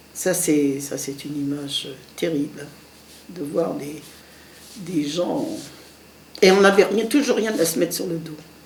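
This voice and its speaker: A woman with a fairly low pitch speaks at a fairly slow pace, with lively intonation and big swings in loudness. Long, frequent pauses break up her speech, and the recording carries audible room echo and noticeable background noise. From Lorraine, France (Moselle). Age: 70s. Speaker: war witness. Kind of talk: testimony. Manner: halting.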